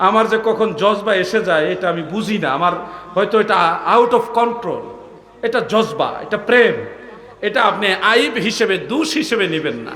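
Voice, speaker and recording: A man's raised, projected voice, high in pitch with ordinary pitch variation, amid audible room echo and noticeable background noise. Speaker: Islamic preacher. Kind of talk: sermon. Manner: loud; impassioned, rising volume.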